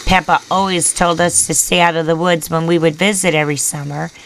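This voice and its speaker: A woman puts on a raspy character voice with a fairly low pitch. She keeps a moderate pace and fairly even intonation. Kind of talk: horror narration. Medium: read story. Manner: measured, storytelling.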